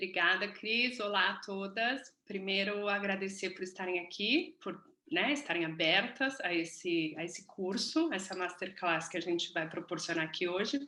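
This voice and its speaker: Her tone bright and sharp, a woman talks at a moderate pace with ordinary pitch variation. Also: medium pitch for a woman. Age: 30s. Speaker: business mentor, course co-host. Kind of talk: online masterclass presentation.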